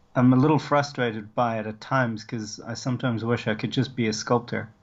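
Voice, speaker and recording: His intonation is fairly even. The man speaks at a very fast pace. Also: medium pitch for a man. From South Africa, Cape Town. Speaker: sculptor and film art director. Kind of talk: podcast interview. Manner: hesitant, with fillers and restarts.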